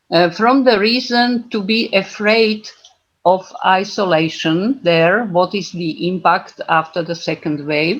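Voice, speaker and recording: A woman speaks very slowly at a medium pitch, using ordinary pitch variation. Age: 70s. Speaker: senior organisation member. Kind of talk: meeting presentation. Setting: video call. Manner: halting.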